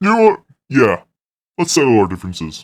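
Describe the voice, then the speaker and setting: Using a put-on character voice, a man speaks at a fairly quick pace with very wide pitch swings. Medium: actual play.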